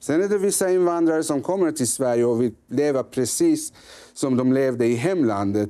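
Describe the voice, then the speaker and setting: A man with a dark, mellow tone and a fairly high pitch talks at a moderate pace with lively intonation. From Sweden, grew up there from age five. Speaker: member of parliament, politician; politician guest. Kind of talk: political interview. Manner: halting, with many fillers and repetitions. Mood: critical, firm. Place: studio.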